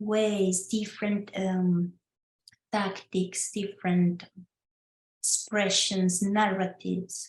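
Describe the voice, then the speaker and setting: A woman's somewhat breathy, medium-pitched voice with a Spanish accent, monotone, flat intonation, very slow pace, and long, frequent pauses. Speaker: legal scholar presenter. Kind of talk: online talk presentation. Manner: halting.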